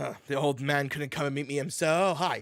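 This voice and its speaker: A man puts on a raspy character voice at a fairly high pitch. He talks at a fairly quick pace with fairly even intonation. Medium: actual play. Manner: casual, cocky.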